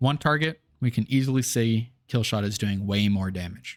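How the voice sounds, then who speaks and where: In a very clean recording with a silent background, a man has a plain, everyday voice at medium pitch, with fairly even intonation. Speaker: gaming video creator. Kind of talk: tutorial.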